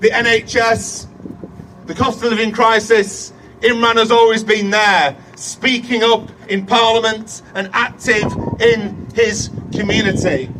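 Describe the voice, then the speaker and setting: Against noticeable background noise, a man with a high pitch speaks at a very slow pace with fairly even intonation. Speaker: politician. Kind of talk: campaign speech.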